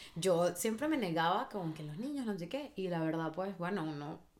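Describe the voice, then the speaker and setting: Very wide pitch swings run through this voice. It belongs to a woman. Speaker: podcast co-host. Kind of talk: casual chat.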